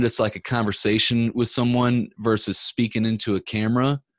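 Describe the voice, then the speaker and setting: Here a man uses an unremarkable speaking voice at a medium pitch, with fairly even intonation and a moderate pace. The recording is very clean, dry and close, with no echo and a silent background. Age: 30s. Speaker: entrepreneur and podcaster. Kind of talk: casual chat.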